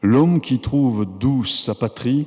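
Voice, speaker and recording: Speaking at a very slow pace with a Japanese accent, a man has a dark, mellow tone. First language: Japanese (speaking French). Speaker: professor and writer receiving an honorary doctorate. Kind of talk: formal acceptance speech. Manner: formal.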